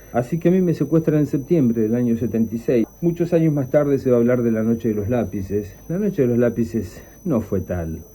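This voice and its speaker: A man with a medium-pitched, dark, mellow tone talks at a fairly quick pace with hardly any pauses. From Argentina, La Plata. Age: 60s. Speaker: dictatorship survivor, former student activist, teacher. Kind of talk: testimony. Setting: pre-recorded audio played on radio.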